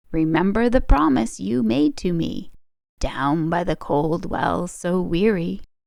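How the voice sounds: Using a put-on character voice, a woman speaks slowly at a fairly low pitch, with a slightly mellow tone, vocal fry and lively intonation.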